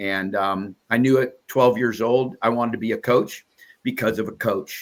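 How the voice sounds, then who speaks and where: A man speaks at a moderate pace with a medium pitch and fairly even intonation. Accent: Midwestern US. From Iowa. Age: 70s. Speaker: wrestling broadcaster. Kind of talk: podcast interview. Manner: halting with many fillers.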